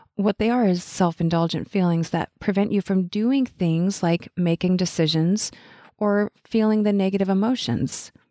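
A woman's medium-pitched voice, dark and mellow in tone, with very even loudness, a dry, close sound with no echo, and a quiet background. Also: ordinary pitch variation, moderate pace. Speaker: life coach podcaster. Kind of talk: solo podcast monologue. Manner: animated, upbeat.

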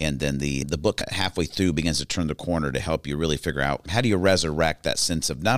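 Vocal fry runs through a man's very deep, low voice, which shows ordinary pitch variation. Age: 40s. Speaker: public speaker and podcast host. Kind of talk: interview.

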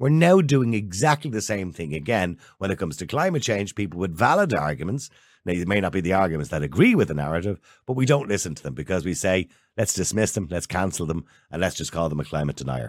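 Very deep and low in pitch, a man with an Irish accent speaks at a very fast pace with very wide pitch swings in a very clean recording with a silent background. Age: 50s. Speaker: podcast host. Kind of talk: interview.

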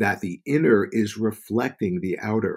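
A man's medium-pitched, an unremarkable speaking voice at a moderate pace with ordinary pitch variation. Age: 60s. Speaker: spiritual author and healer. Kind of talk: interview.

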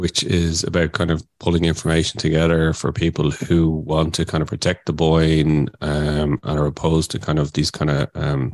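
With an Irish accent, a man speaks in a very deep, low voice. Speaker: podcast host. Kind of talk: casual chat.

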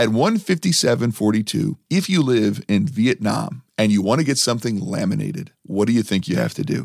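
Speaking fairly quickly with hardly any pauses, a man at medium pitch uses lively intonation and vocal fry. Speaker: podcast co-host. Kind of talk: casual chat.

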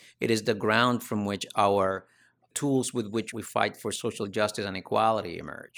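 On a very clean recording with a silent background, a man with a Spanish accent speaks at a moderate pace with monotone, flat intonation. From Dominican Republic. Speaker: university lecturer and author. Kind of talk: interview.

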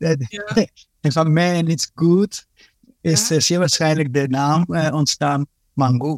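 This man talks very slowly at a fairly high pitch, with very even loudness and fairly even intonation. He leaves long, frequent pauses. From Dominican Republic, raised in Netherlands from age ten. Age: 40s. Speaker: police inspector and court interpreter. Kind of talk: casual interview. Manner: hesitant, with many fillers and repeats.

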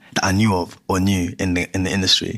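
Speaking very fast with a London accent, a man uses a fairly low pitch. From London (Greenwich), Ghanaian heritage. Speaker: musician. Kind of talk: casual chat.

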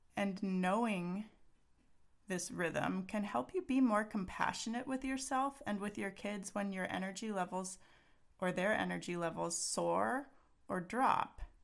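This woman has an unremarkable speaking voice at a medium pitch, with lively intonation. She talks at a fairly slow pace. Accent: American. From Texas. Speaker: parenting coach and podcast host. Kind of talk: solo podcast monologue.

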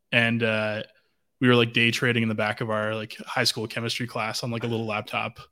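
A man speaks in a western Canadian accent with a bright, sharp tone. His intonation is monotone and flat. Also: medium pitch for a man, fairly quick pace, very clean recording, silent background. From western Canada, Vancouver. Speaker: blockchain data lead. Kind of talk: casual interview.

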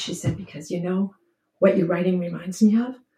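A woman talks at a fairly quick pace and a medium pitch. Her tone is dark and mellow, and somewhat breathy. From New Hampshire, US. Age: 70s. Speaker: poet and retired English teacher. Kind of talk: casual interview with poetry reading.

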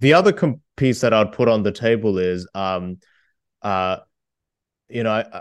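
Against a quiet background, a man talks in a fairly low pitch. He has an Australian accent. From Australia (moved from Korea at eight). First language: Korean. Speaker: debate champion and author. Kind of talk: interview.

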